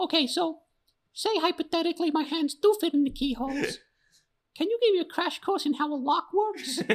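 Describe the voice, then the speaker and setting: A squeaky, put-on character voice at an extremely high pitch runs at a fairly quick pace. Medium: actual play. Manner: dry, sarcastic.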